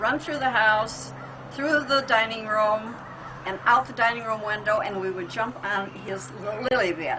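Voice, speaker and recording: A woman's fairly high pitch and ordinary pitch variation at a moderate pace, with noticeable background noise and audible room echo. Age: 80s+. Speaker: interviewee, family elder. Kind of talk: reminiscing interview. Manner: halting.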